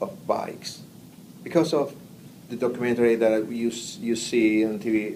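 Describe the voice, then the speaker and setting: A man speaks at a moderate pace with a Spanish accent. His pitch is medium, and the room echo is audible. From Argentina. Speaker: immigrant interviewee. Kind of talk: interview. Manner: halting.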